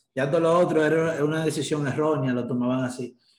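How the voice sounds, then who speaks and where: Fairly even intonation marks this normal speaking voice. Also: man. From Dominican Republic. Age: 20s. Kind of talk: interview conversation.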